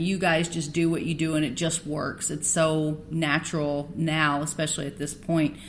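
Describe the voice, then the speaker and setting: Woman's voice with audible room echo. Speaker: podcast host. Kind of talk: interview. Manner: halting.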